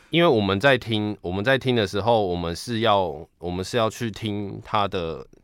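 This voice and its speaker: With ordinary pitch variation, a man's fairly low voice moves at a moderate speed. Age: young. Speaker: piano tuner. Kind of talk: interview. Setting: video call. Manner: halting.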